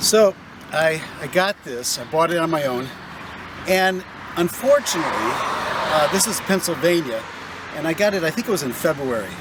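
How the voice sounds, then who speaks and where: Noticeable background noise runs under a man with a high pitch and lively intonation who takes long, frequent pauses. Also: moderate pace. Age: 60s. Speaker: hobbyist video maker. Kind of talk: casual tutorial.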